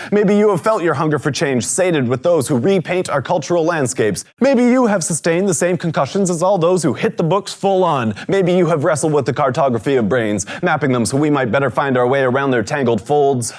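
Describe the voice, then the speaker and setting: A man's fairly high, plain, everyday voice at a fairly quick pace, with lively intonation and very even loudness. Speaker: slam poet. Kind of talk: spoken word poetry performance.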